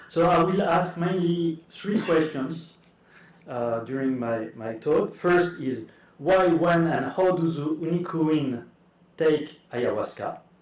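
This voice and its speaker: Audible room echo surrounds a man speaking very slowly at a fairly high pitch with ordinary pitch variation. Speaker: academic speaker. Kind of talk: conference talk. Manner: halting.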